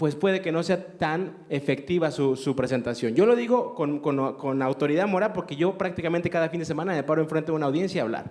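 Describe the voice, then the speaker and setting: This man's pitch is fairly high, with ordinary variation. He speaks at a very fast pace with hardly any pauses. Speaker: radio announcer and theology teacher. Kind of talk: interview.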